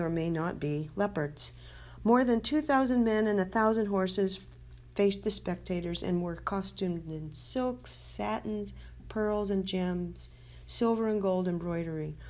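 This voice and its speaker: Medium pitch and ordinary pitch variation from a woman. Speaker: writer. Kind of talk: documentary narration. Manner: fast.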